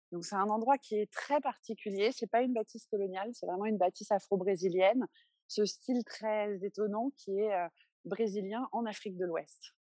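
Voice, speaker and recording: A woman speaks in a dark, mellow tone with fairly even intonation. The sound is dry and close, with no echo. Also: medium pitch for a woman, moderate pace. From France, Paris. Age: 30s. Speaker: museum founder and art advocate. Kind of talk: interview.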